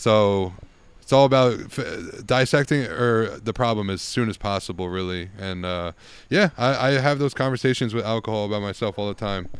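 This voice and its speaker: A normal speaking voice from a man, medium in pitch, with ordinary pitch variation and a moderate pace, on a very clean recording with a silent background. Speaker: yoga teacher. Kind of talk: casual chat.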